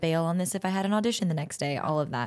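A woman with an American accent talks at a very fast pace with a very deep, low pitch and ordinary pitch variation. The recording is very clean, with a silent background. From Southern California, Orange County. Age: 20s. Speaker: podcast host and actress. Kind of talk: interview podcast, casual chat.

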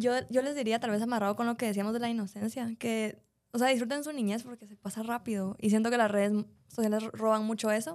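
A woman speaks very fast at a fairly high pitch, with fairly even intonation and big swings in loudness. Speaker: podcast co-host. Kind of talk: casual chat.

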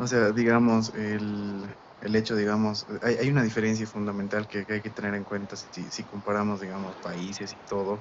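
A man with an ordinary speaking voice talks at a fairly quick pace. His pitch is fairly low. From Bolivia. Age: 20s. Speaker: university student, former exchange student. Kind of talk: casual chat.

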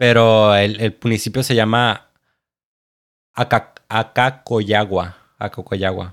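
Speaking at a very slow pace with long, frequent pauses, a man with a fairly low voice is heard in a very clean recording over a silent background. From Mexico, Chiapas (Tapachula). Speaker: podcast co-host. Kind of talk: casual chat. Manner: animated.

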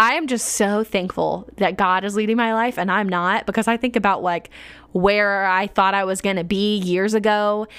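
In a very clean recording with a silent background, a woman with an unremarkable speaking voice talks at a moderate pace and medium pitch, her intonation fairly even. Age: 20s. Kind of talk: casual devotional monologue. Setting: home living room desk.

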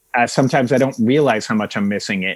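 A plain, everyday voice, a man at medium pitch with ordinary pitch variation. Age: 40s. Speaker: journalist and author. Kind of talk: interview conversation.

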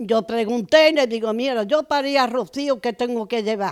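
A woman speaks at a moderate pace with a high pitch and ordinary pitch variation. The recording is very clean, with a silent background. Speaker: honored brotherhood member. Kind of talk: interview, personal reminiscence. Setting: at her home.

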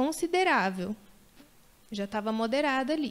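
A woman's high-pitched voice moves at a moderate pace with lively intonation. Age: 30s. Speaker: mother sharing birth stories. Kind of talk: testimony.

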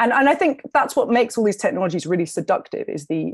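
On a very clean recording with a silent background, a woman speaks with a London accent. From London, England. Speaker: documentary filmmaker and journalist, author. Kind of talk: interview conversation.

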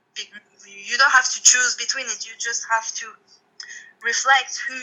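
Speaking at a fairly slow pace, a woman talks with a French accent. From France. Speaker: tattoo artist. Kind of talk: interview.

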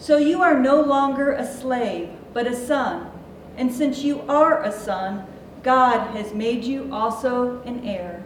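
A woman's high-pitched voice at a very slow pace, with ordinary pitch variation and noticeable background noise. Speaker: worship leader. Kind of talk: reading aloud. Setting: church.

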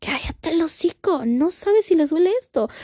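A woman speaks at a very fast pace with an extremely high pitch and a dark, mellow tone. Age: 30s. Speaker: podcast host. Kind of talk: casual solo podcast monologue.

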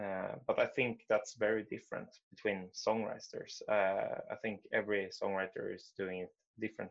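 A man speaks with a Swedish accent. His pace is moderate. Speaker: musician. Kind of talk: interview. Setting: video call.

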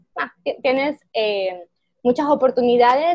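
With lively intonation and a normal speaking voice, a woman keeps a moderate pace. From Ecuador. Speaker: software engineer and tech lead. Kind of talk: interview.

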